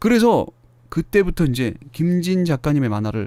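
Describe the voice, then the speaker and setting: A man speaks with very wide pitch swings. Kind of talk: podcast talk. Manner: casual, chatty.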